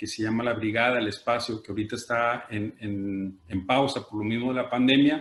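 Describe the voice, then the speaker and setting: The man's pitch sits in the medium range. His intonation is fairly even. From Mexico, Tijuana (Baja California border). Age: 50s. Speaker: art collector and gallery director. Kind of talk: panel discussion. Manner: halting, many fillers.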